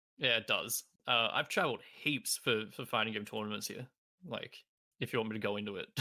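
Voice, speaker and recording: A medium-pitched man with an Australian accent, bright and sharp in tone, at a fairly quick pace with ordinary pitch variation. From Australia, Melbourne. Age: 20s. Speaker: speedrunner and streamer. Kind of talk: casual chat.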